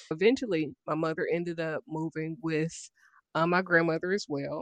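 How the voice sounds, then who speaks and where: Here is a woman with an American accent and an ordinary speaking voice, pitched fairly low. The recording is dry and close with no echo, over a quiet background. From Dayton, Ohio. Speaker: life coach and author, army veteran. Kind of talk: interview, personal life story.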